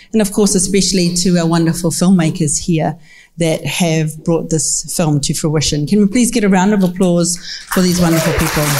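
Through noticeable background noise, a woman with a New Zealand accent talks at a moderate pace in a fairly low voice with very even loudness. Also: fairly even intonation. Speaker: film commission executive, panel co-moderator. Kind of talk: panel discussion. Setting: stage with audience.

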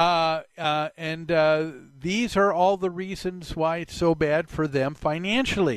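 A man at a very slow pace, quiet background behind him. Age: 60s. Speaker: talk radio host. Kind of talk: radio talk show monologue. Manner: halting, many filler sounds.

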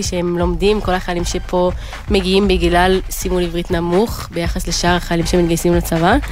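A woman's fairly quick speech with audible room echo and music in the background. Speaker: army company commander. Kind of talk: interview.

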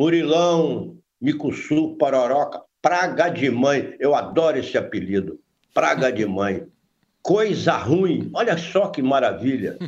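A man's fairly high voice with vocal fry at a very slow pace. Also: lively intonation. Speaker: veteran crime reporter. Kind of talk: interview.

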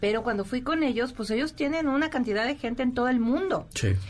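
At a moderate pace, a woman uses an ordinary speaking voice with lively intonation. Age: 50s. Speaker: tarot reader. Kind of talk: casual chat. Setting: studio.

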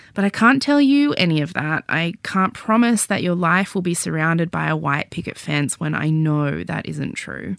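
A woman with an Australian accent speaks at a fairly low pitch, her pitch varying in an ordinary way. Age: 30s. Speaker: podcast host and memoir author. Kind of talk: scripted narration; casual chat.

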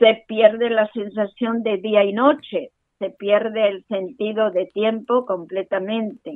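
A woman's fairly high voice at a very slow pace with fairly even intonation. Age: 80s+. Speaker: Holocaust survivor. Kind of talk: testimony.

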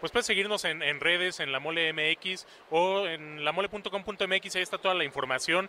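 Using ordinary pitch variation, a man with a high pitch talks at a moderate pace. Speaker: event organizer. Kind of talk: casual interview chat. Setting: convention floor. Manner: halting.

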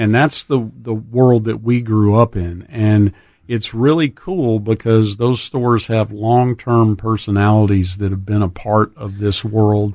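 In a very clean recording with a silent background, a man speaks at a moderate pace in a fairly low, dark, mellow tone with fairly even intonation. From US South, South Louisiana. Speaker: dive shop owner. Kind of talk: casual chat. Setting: studio.

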